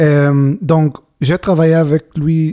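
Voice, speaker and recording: Here a man speaks at a very slow pace with a dark, mellow tone. The sound is dry and close, with no echo. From Israel. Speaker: bandoneon player. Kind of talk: interview. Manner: halting.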